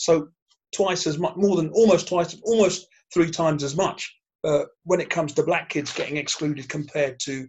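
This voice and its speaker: This man has a fairly high pitch. He speaks in a plain, everyday voice. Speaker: podcast host moderating panel. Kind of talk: panel discussion podcast.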